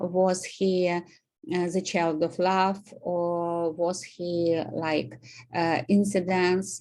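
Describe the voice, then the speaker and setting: A woman with a Russian accent speaks at a very slow pace. Her fairly low voice stays monotone and flat. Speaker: student. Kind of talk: presentation. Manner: halting, many fillers.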